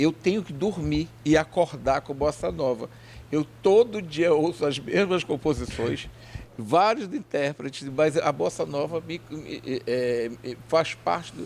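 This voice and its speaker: This man's fairly high voice has lively intonation, vocal fry, and big swings in loudness. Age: 60s. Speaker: TV/web show host. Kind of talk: interview.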